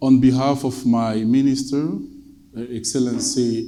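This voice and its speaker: In a Congolese accent, a man speaks with monotone, flat intonation amid audible room echo and noticeable background noise. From Democratic Republic of the Congo. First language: French. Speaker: government climate advisor. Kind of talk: conference speech. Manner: formal.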